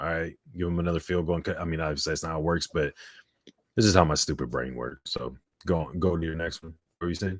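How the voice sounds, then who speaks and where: At a very fast pace, the voice shows vocal fry and fairly even intonation, recorded dry and close with no echo, very clean, with a silent background. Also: man, very deep, low pitch for a man. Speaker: sports podcast co-host. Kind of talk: live sports reaction chat. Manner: monotone.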